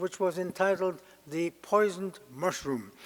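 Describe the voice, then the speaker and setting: Talking at a fairly slow pace, a man with a German accent and a high voice shows ordinary pitch variation. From Germany (Berlin). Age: 90s. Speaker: Holocaust survivor speaker. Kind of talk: testimony. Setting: lecture hall with audience. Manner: halting, many hesitations.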